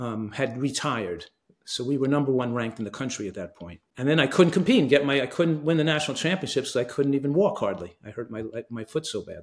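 Against a quiet background, a man talks at a very fast pace with lively intonation. His loudness swings widely. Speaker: guest. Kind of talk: interview answer. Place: home room.

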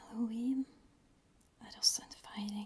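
Whispering, a woman moves through her words at a very slow pace. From Norway. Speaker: ASMR creator. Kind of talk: ASMR educational talk. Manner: whispered, soft-spoken. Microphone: studio mic.

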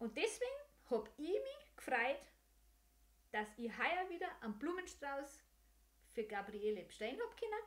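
A woman with a Bavarian accent, high-pitched, with very wide pitch swings, a moderate pace and long, frequent pauses. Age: 50s. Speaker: podcast host and senior care service owner; podcast host. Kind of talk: casual monologue. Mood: warm, humorous. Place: home room. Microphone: studio mic.

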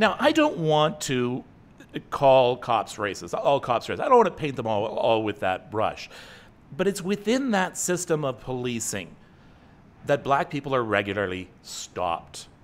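A man with a Canadian accent speaks with very wide pitch swings. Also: moderate pace. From Northern Ontario, Canada; Ontario, Canada. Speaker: online talk show host. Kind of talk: casual chat. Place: home room. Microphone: studio mic.

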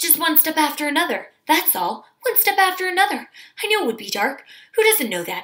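Shaky and fairly quick, a put-on character voice carries the clip. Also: woman, extremely high pitch for a woman. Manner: fast, hardly stopping for breath.

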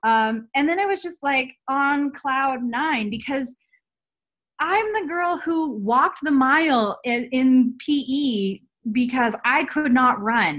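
A woman's high-pitched voice at a very slow pace, with lively intonation, against a quiet background. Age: 30s. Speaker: health and fitness coach; fitness coach. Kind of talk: personal testimony on a team call. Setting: video call. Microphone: webcam.

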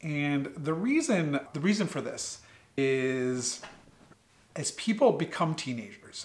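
A man with an American accent talks at a fairly slow pace. His pitch is fairly high, with ordinary variation. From US Northeast, Connecticut. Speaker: pediatric sleep doctor. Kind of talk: educational talk to schoolchildren. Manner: friendly, conversational. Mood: friendly, explanatory. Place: home room. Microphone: studio mic.

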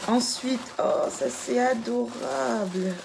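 Over clear background noise, a woman speaks slowly in a fairly high voice with vocal fry. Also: ordinary pitch variation.

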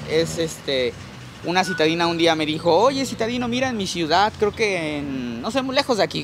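Noticeable background noise sits under a dry sound with no echo. The man's voice is high in pitch and swings very widely up and down. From Mexico. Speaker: plant nursery owner and YouTuber; YouTuber. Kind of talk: casual guided tour chat. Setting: outdoors in a plant nursery. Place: garden. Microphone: handheld.

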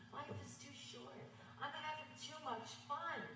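A woman's voice comes through with audible room echo and light background noise. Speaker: stage actor. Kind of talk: theatrical dialogue. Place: stage. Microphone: camera far.

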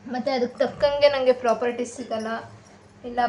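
A woman speaks with a high pitch. Her intonation is flat and monotone. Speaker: vlogger and mother. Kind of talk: craft tutorial vlog. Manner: casual, chatty. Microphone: far from camera, voice may be quiet.

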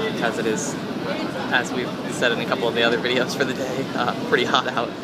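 A man talking at a fairly quick pace over loud background noise. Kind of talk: casual vlog chat. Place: boat. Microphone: phone near.

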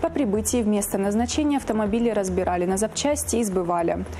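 Through noticeable background noise, a woman with a medium pitch talks at a very fast pace. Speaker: police press officer presenting crime news. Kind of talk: news reading. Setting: studio.

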